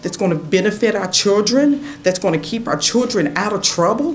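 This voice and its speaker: With an American accent, a woman speaks at a moderate pace with lively intonation, and the room echo is audible. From southwest Virginia. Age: 60s. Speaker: resident speaking at public comment. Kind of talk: public comment at town council meeting. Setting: council chamber public meeting. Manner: animated.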